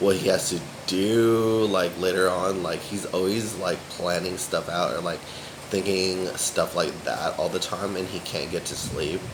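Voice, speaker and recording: A man with an American accent, plus audible room echo and noticeable background noise. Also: fairly slow pace. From USA. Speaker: vlogger. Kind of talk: casual vlog monologue. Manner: filler-heavy, rambling speech.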